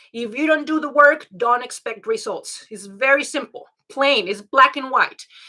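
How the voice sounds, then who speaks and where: A woman's raised, projected voice, high-pitched, with a bright, sharp tone, ordinary pitch variation and a fairly slow pace. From Mexico. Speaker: life and health coach. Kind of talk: online class.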